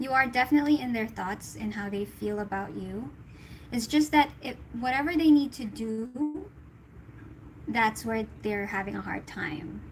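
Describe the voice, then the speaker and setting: Using an unremarkable speaking voice, a woman at a fairly high pitch speaks at a moderate pace with lively intonation and big swings in loudness. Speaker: tarot reader. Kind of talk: tarot reading livestream.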